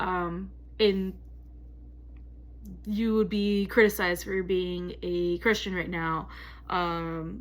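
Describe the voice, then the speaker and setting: A woman speaking at a very slow pace in an American accent. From US. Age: 30s. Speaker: graduate student. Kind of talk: class discussion video presentation. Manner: halting, many fillers.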